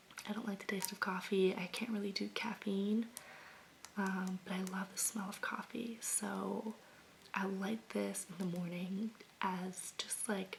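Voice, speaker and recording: A soft-spoken woman's voice, gentle and relaxed in tone, at medium pitch with monotone, flat intonation and a fairly slow pace, over noticeable background noise. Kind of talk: ASMR soft-spoken talk to camera about candles. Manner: soft-spoken, gentle, relaxed.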